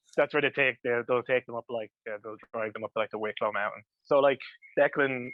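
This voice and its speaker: With an Irish accent, a man speaks at a fairly quick pace using fairly even intonation. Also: medium pitch for a man. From Ireland, County Louth. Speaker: comic book writer. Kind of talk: casual interview chat.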